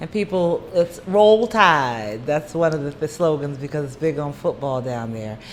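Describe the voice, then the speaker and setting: Against noticeable background noise, a woman with an American accent talks at a moderate pace with hardly any pauses, her very deep, low pitch carrying lively intonation and big swings in loudness. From US Mid-Atlantic (Maryland, from age 13). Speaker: nurse and singer. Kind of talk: casual interview.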